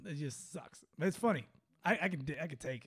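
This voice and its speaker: In a put-on character voice, a man sounds whiny, with fairly high pitch, lively intonation and a moderate pace. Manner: whiny, complaining.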